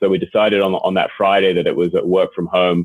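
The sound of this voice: Speaking at a fairly quick pace, a man with an English accent has a low pitch.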